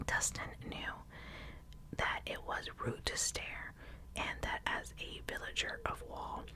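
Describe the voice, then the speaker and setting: Noticeable background noise sits under a woman's whisper, which moves fairly slowly. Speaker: ASMR reader. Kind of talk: ASMR audiobook reading. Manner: whispered, soft.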